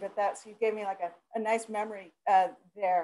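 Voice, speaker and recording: The pitch of this woman's speech varies in an ordinary way. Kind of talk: webinar presentation. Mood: warm, friendly. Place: office. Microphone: video call.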